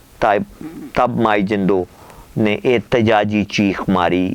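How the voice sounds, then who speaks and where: The speaker is a man with a fairly low pitch. Noticeable background noise can be heard. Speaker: columnist, poet, radio voice and vlogger. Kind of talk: letter reading, dramatic storytelling.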